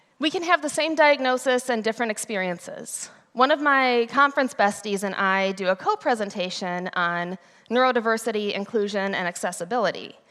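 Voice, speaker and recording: Loud and fairly high-pitched, a woman with an American accent speaks at a fairly quick pace with lively intonation on a very clean recording with a silent background. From US Midwest, Ohio. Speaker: conference speaker. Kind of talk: conference talk. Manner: loud, energetic.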